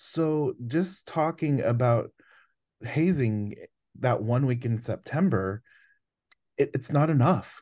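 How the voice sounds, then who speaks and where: Over a quiet background, a man with a dark, mellow tone and fairly high pitch uses lively intonation and very even loudness, speaking at a very slow pace with long, frequent pauses. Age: 30s. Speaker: university student-life administrator and anti-hazing speaker. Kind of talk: casual interview.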